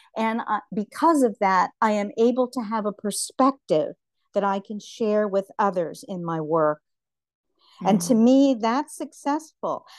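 Against a quiet background, a woman with a normal speaking voice talks at a fairly slow pace, fairly high in pitch and with lively intonation, in a dry, close sound with no echo. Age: 60s. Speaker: writer and visual artist. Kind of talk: casual interview.

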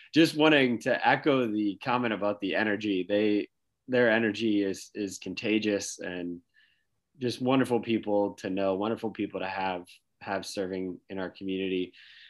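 An unremarkable speaking voice from a man, fairly low in pitch, with ordinary pitch variation, a moderate pace and a quiet background. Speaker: podcast host. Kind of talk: interview.

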